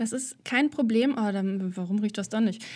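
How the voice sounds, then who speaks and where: Her voice a plain, everyday voice, a woman speaks at a fairly high pitch and moderate pace with ordinary pitch variation. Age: 30s. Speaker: artist and podcaster. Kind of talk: casual interview. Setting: video call.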